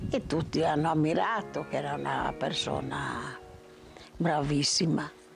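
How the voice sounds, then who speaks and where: A woman speaks at a fairly slow pace, leaving long, frequent pauses. Music plays in the background. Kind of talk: interview answer.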